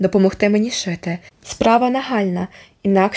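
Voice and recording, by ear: This is read aloud in a natural voice. The pitch varies in an ordinary way.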